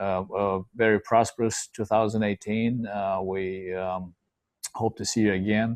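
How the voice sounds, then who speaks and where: This man speaks with a Romanian accent at a fairly low pitch, his intonation monotone and flat. The sound is dry and close, with no echo. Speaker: podcast host. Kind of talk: casual discussion. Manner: halting, many fillers.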